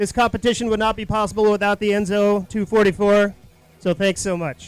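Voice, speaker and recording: Loud speech comes at a fairly quick pace with fairly even intonation over music in the background. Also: man, high pitch for a man. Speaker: event emcee. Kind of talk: awards ceremony announcements.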